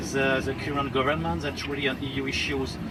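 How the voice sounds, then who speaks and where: With music in the background and audible room echo, a man speaks in a French accent at a fairly quick pace with ordinary pitch variation. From France. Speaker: diplomat. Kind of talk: talk at a public discussion. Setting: outdoor festival stage with audience. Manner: hesitant, with fillers.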